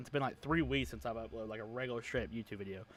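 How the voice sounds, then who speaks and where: A man speaks quietly, with ordinary pitch variation. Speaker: sports podcast host. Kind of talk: casual chat. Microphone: quieter than co-host.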